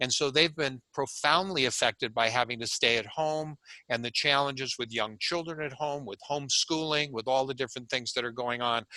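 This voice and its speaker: A man talks at a fairly quick pace with hardly any pauses, in a plain, everyday voice. His medium pitch carries ordinary pitch variation, and the sound is dry and close with no echo. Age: 60s. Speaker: sleep medicine doctor. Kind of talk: webinar lecture. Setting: online webinar.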